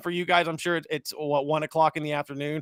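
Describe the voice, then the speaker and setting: A fairly high-pitched man with an American accent, in a dry, close sound with no echo. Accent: slight country. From central California (Hanford). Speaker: sports podcast host. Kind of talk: casual chat. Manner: animated.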